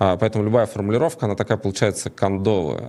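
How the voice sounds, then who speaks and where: A man with a fairly low voice talks while noticeable background noise carries on. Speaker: online show host. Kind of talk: live stream talk. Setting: studio.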